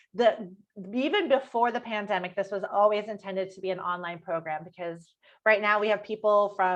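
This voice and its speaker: Her loudness swings widely as a woman talks at a medium pitch. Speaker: health and nutrition coach. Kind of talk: online workshop pitch. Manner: fast.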